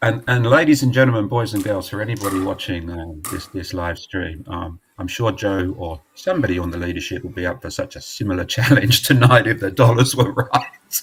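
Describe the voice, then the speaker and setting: With an English accent, a man talks at a fairly quick pace with hardly any pauses, his voice fairly low and somewhat breathy. His pitch varies in an ordinary way while his loudness swings widely. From England. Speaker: charity representative. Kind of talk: casual chat. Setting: live stream.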